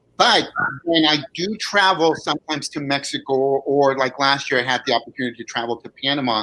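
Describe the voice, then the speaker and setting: A man talks at a fairly quick pace in a fairly high pitch. His tone is bright and sharp, with ordinary pitch variation. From California, US, Mexican parents. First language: Spanish. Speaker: bilingual consultant. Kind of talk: panel discussion.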